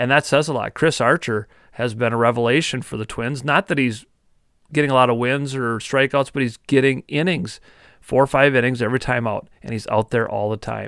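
In an Upper Midwest accent, a man speaks at a medium pitch and fairly quick pace with fairly even intonation, in a very clean recording with a silent background and a dry, close sound with no echo. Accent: Upper Midwest (Minnesota). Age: 40s. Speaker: sports podcast host. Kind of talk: casual sports talk.

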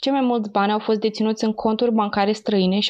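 A woman speaks at a fairly high pitch and a fairly quick pace. Her intonation stays flat and monotone. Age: 20s. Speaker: true crime podcast co-host. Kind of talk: scripted true crime narration; casual chat.

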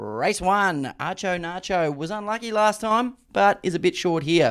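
A man with a high-pitched voice speaks at a moderate pace on a very clean recording with a silent background. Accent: Australian. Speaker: racing podcast host. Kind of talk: casual chat.

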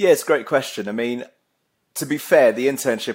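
A man talks with a southern English accent. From Essex, England. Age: 30s. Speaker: account executive. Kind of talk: casual chat.

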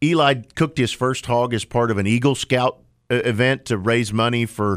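On a very clean recording with a silent background, a man with an American accent speaks in a plain, everyday voice. His medium pitch shows ordinary pitch variation at a moderate pace. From Oklahoma. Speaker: trade association executive. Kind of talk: radio interview. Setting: studio.

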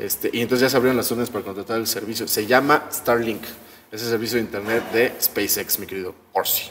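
Noticeable background noise runs under a man talking at a very fast pace, with a medium pitch and fairly even intonation. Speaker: podcast co-host. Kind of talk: casual chat.

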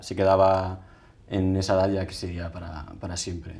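The man's voice is fairly low in pitch, and he talks at a moderate pace. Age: 20s. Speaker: patient with atopic dermatitis. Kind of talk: interview testimony. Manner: halting, with frequent repetitions.

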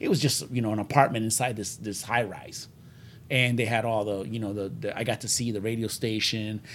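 A man speaks at a fairly quick pace with a Puerto Rican accent. His pitch sits in the medium range. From Puerto Rico. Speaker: podcast host. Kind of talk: casual chat. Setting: studio. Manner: fast talker; excitable.

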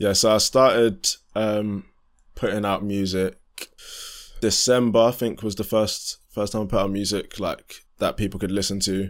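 On a very clean recording with a silent background, a man talks at a moderate pace with long, frequent pauses, a fairly low pitch and a monotone, flat intonation. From southeast London. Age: 20s. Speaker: amateur R&B and hip-hop musician. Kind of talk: casual interview chat.

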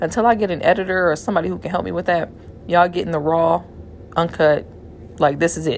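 A woman talks at a very fast pace yet with long, frequent pauses. Her fairly low voice has vocal fry and ordinary pitch variation. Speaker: podcaster. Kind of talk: casual solo monologue. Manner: chatty, casual.

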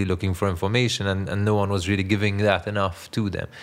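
Through noticeable background noise, a man speaks at a fairly low pitch. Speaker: political strategist, former journalist. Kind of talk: interview.

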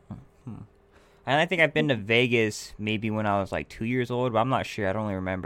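A man's fairly low voice at a very fast pace with lively intonation. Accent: West Coast. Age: 20s. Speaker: podcast host. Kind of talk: casual chat.

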